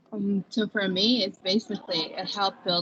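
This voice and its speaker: Against noticeable background noise, a woman with an American accent speaks in fairly even intonation. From outside the US. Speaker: college student ambassador. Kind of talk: panel discussion. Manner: halting, many fillers.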